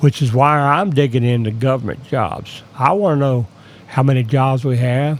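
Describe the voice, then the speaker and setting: An ordinary speaking voice moves at a fairly slow pace. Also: man. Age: 60s. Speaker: independent data analyst, YouTuber. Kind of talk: screen-share tutorial. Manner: casual, conversational.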